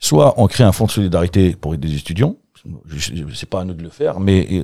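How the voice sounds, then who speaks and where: A man with a very deep, low pitch and a dark, mellow tone talks at a very fast pace on a very clean recording with a silent background. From Algeria, Kabylie (Bouira). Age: 40s. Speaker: café-bar owner. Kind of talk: casual interview chat. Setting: basement studio under the bar.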